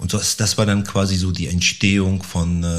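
Fairly even intonation from a man with a very deep, low voice. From Bielefeld, Germany. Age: 40s. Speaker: agency founder. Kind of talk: casual interview. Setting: studio.

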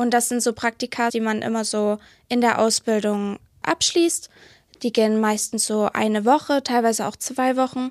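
A plain, everyday voice, a woman's fairly high one, speaks at a moderate pace with fairly even intonation in a very clean recording with a silent background and a dry, close sound with no echo. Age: 20s. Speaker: library apprentice. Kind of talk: interview.

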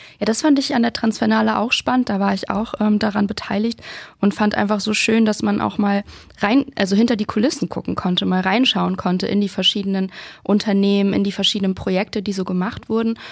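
A woman's normal speaking voice moves along at a fairly quick pace, her medium pitch carried by fairly even intonation. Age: 30s. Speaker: podcast host. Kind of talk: scripted intro.

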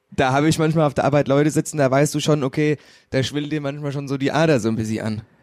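Talking at a very fast pace, a man uses a fairly high pitch and fairly even intonation. The recording is very clean, with a silent background. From Hesse, Wetterau. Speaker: graphic designer. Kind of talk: casual chat.

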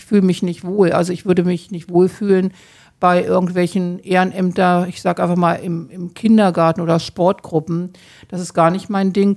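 The recording is very clean, with a silent background. A woman speaks at a medium pitch and a moderate pace, her intonation monotone and flat. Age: 60s. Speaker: hospice volunteer. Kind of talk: interview. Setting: hospice room.

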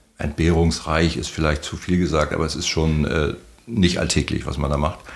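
A man speaks with a very deep, low pitch. Noticeable background noise runs underneath. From Mecklenburg, northeastern Germany. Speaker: harbour master and former sea captain. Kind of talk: casual interview. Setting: outdoors at the beach.

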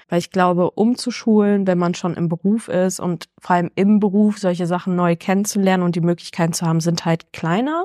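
A woman speaks at a moderate pace with a medium pitch and fairly even intonation. Her tone is dark and mellow, and the sound is dry and close with no echo. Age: 20s. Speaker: freelance journalist and DJ. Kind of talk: casual interview.

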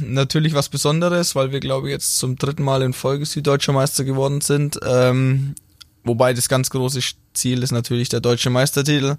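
A monotone, flat delivery at a moderate pace, with a Franconian accent. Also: man, medium pitch for a man. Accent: Franconian, rolled R. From Franconia, Bavaria (Middle Franconia). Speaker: futsal player, national team captain. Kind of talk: casual interview. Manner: hesitant with many fillers.

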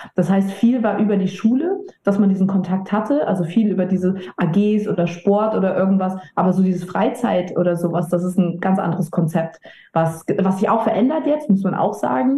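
Noticeable background noise sits behind a woman speaking at medium pitch with very even loudness. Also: ordinary pitch variation, moderate pace. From mixed: Italy, Papua New Guinea, US, China, Germany. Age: 30s. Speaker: edtech founder and managing director. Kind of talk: casual interview.

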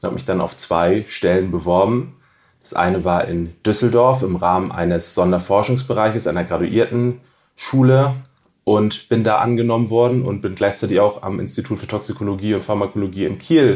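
Fairly low-pitched male voice, a plain, everyday voice, moderate in pace with ordinary pitch variation. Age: 30s. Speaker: doctoral researcher in toxicology. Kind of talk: podcast interview.

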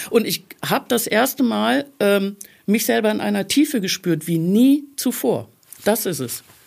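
A woman at medium pitch, fairly slow in pace, with very wide pitch swings. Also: very clean recording, silent background. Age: 50s. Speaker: life coach. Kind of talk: casual chat. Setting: studio.

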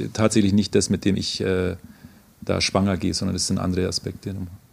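Talking at a fairly quick pace, a man with a very deep, low pitch keeps a monotone, flat intonation. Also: long, frequent pauses. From Oberammergau, Upper Bavaria, Germany. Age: 40s. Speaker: psychologist and passion play actor. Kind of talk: interview. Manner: hesitant, with fillers and repetitions.

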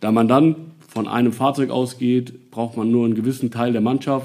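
This man's voice has a dark, mellow tone. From Nassau, Rhineland-Palatinate, Germany. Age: 40s. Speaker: volunteer fire chief. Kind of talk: interview. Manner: hesitant, many filler sounds.

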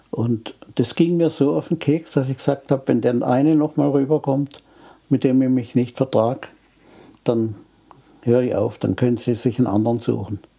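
At a moderate pace, a man talks in a medium pitch with a dark, mellow tone and ordinary pitch variation. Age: 80s+. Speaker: retired engine engineer. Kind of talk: interview. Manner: halting.

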